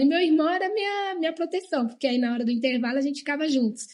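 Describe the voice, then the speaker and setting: A woman talks fairly quickly, her intonation lively, with a quiet background. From Brazil, Bahia, moved around often. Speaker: guest sharing life story. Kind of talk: testimony in TV talk show.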